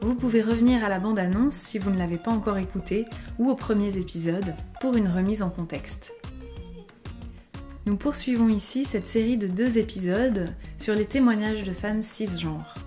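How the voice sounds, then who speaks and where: A woman speaks at a moderate pace with a medium pitch and ordinary pitch variation, leaving long, frequent pauses while music plays in the background. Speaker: speech therapist. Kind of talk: podcast intro narration.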